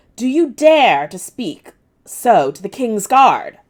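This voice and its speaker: A woman's put-on character voice, high-pitched and growling, at a fairly slow pace. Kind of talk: haughty. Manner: menacing, snarling.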